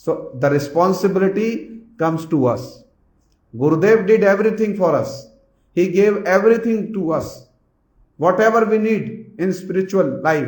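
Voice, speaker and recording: The room echo is audible as a man talks at a moderate pace with an Indian accent. His voice sits high for a man, with ordinary pitch variation. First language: Hindi. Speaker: spiritual teacher. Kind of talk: religious discourse. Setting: hall with assembled audience. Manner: repetitive, emphatic.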